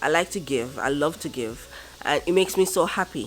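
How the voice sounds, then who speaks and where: A woman's voice at a moderate pace, with very wide swings in pitch. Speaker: vlogger. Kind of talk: casual vlog. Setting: at home.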